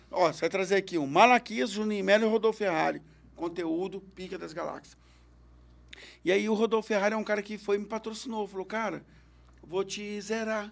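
Long, frequent pauses break up a man's high-pitched speech, delivered at a fairly quick pace. His intonation is fairly even, and the recording is very clean with a silent background. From Belo Horizonte, Minas Gerais, Brazil. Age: 40s. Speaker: stand-up comedian and radio host. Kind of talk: casual chat. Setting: studio.

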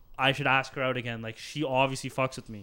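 A man's unremarkable speaking voice, fairly high-pitched, at a fairly quick pace with fairly even intonation. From Surrey, British Columbia, Canada. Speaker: podcast host. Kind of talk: casual chat.

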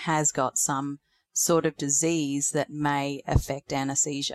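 A woman's very deep, low voice in an Australian accent, monotone and flat, on a very clean recording with a silent background and a dry, close sound with no echo. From North Queensland, Australia. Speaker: veterinary nurse and academic. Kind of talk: interview.

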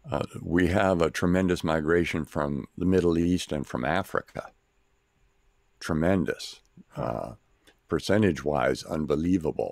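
A man with a very deep, low pitch and vocal fry, at a fairly slow pace with ordinary pitch variation and long, frequent pauses. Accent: American. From US Midwest. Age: 70s. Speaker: missionary and preacher. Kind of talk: interview.

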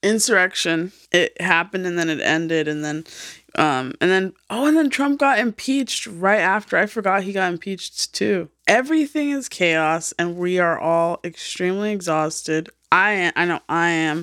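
A woman has an unremarkable speaking voice at medium pitch, with lively intonation. She talks at a moderate pace, and the sound is dry and close with no echo. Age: 30s. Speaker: podcast co-host. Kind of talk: casual chat.

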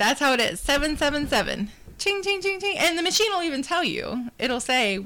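A woman's raised, projected voice, high-pitched with very wide pitch swings, at a fairly quick pace over noticeable background noise. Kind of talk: casual chat.

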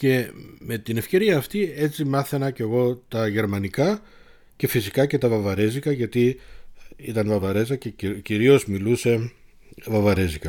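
On a very clean recording with a silent background, a man's dark, mellow voice sits at medium pitch with ordinary pitch variation. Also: moderate pace. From Munich, Germany (Greek family). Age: 50s. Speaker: podcast host. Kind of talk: solo personal storytelling.

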